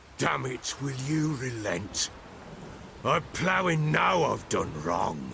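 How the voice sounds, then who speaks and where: Putting on a growling character voice at a medium pitch, a man speaks very slowly over clear background noise. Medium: video game. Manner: coarse, swearing.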